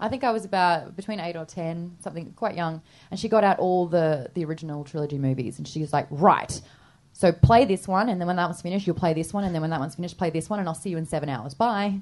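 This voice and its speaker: A woman talks at a very fast pace with a fairly low pitch. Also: ordinary pitch variation. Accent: Australian. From Australia, Sydney. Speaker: radio presenter and podcaster. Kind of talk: live comedy podcast interview. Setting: stage with live audience.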